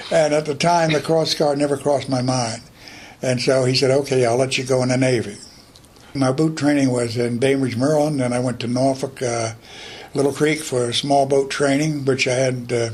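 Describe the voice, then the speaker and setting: Over noticeable background noise, a man with an American accent speaks at a medium pitch with monotone, flat intonation. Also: moderate pace. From North Carolina coast, Morehead City. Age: 80s+. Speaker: war veteran. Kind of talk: interview testimony.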